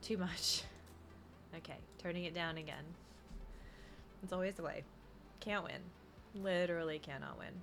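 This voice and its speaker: A woman with an American accent speaks at a moderate pace in a fairly low pitch and a flat monotone, leaving long, frequent pauses, with audible room echo and music in the background. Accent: doesn't sound like Kansas. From US Midwest, Kansas. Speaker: streamer, card collector and artist. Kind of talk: live stream chat. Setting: live stream with background music.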